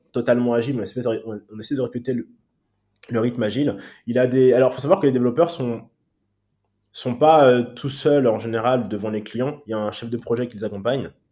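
A man talks at a fairly quick pace in a dark, mellow tone, with long, frequent pauses and big swings in loudness. The recording is very clean, the background silent. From Paris suburbs, France. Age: 30s. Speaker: agency CEO. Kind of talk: interview. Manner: hesitant, many fillers.

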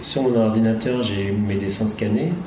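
His pitch is medium for a man. The recording carries audible room echo and noticeable background noise. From Brittany, France. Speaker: comics author. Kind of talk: conference talk. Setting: conference with audience.

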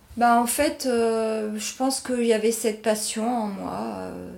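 The delivery moves at a very slow pace. Intonation stays fairly even throughout. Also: woman. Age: 60s. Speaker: wine estate manager. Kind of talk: interview. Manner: halting.

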